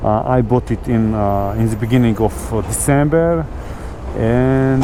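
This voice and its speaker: A man with a non-native accent, noticeable background noise behind him. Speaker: motovlogger. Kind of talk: casual motovlog talk while riding. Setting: outdoors, on a motorcycle with clip-on mic. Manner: hesitant, many fillers.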